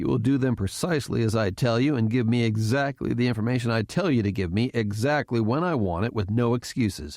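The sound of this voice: An unforced reading voice is delivered with ordinary pitch variation.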